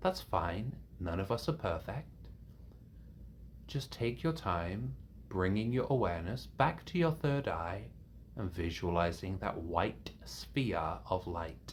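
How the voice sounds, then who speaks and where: A man speaks very slowly in a very deep, low voice with vocal fry. His pitch swings very widely, and he leaves long, frequent pauses. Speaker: meditation teacher. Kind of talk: guided meditation. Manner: calming.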